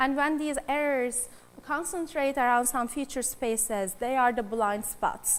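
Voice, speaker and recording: A woman with a high pitch and a non-native accent, at a fairly slow pace. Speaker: AI researcher. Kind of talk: conference talk. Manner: hesitant with fillers.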